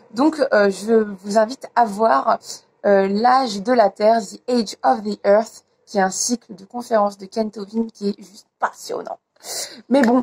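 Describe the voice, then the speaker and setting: A somewhat breathy woman at a fairly slow pace. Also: ordinary pitch variation. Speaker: youtuber. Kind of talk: casual vlog chat. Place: garden. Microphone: phone near.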